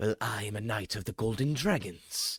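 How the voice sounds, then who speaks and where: A man puts on a character voice, medium in pitch. He keeps a moderate pace. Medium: actual play. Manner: polite, formal.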